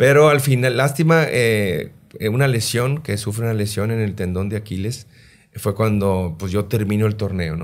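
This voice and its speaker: A man speaks at a fairly slow pace with a fairly low pitch. The background is quiet. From Mexico, Sinaloa (Los Mochis); Sinaloa, Mexico. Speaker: retired football goalkeeper, goalkeeping coach; goalkeeping coach. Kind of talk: interview. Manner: halting, many repeated words. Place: studio. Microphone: studio mic.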